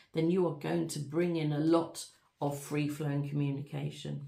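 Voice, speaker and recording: A woman talks at a moderate pace with a very deep, low pitch. Her intonation is fairly even, and audible room echo surrounds her. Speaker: tarot reader. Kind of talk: tarot reading.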